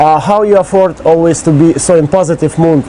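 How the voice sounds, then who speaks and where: Over noticeable background noise, a man with a Russian accent speaks at a moderate pace, his high pitch showing ordinary variation. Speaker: interviewer. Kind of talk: interview. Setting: on location on an island.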